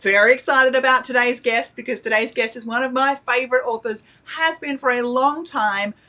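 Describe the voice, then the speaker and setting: Speaking with an Australian accent, a woman talks fairly quickly in a high voice. Her tone is animated. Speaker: publisher's channel host. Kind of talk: live stream Q&A hosting.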